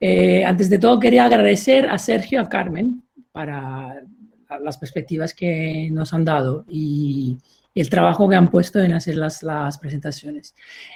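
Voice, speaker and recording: A man with an Italian accent, fairly high pitch, very wide pitch swings, and a fairly slow pace. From Italy. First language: Italian (speaking Spanish). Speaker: professor. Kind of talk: panel debate. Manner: halting.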